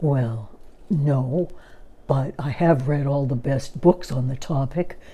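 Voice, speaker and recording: In a put-on character voice, the speaker talks at a fairly slow pace and a low-to-middle pitch. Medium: read story.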